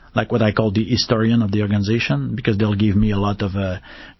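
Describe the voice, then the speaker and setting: A man with a French Canadian accent, very fast pace, fairly even intonation. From Quebec, Canada. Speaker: tech executive. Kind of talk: interview. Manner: halting.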